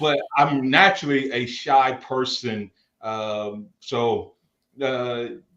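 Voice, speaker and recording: The tone is bright and sharp, with an American accent. The pace is very slow. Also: man, medium pitch for a man, ordinary pitch variation. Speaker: football coach and pastor. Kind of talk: interview. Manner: boisterous.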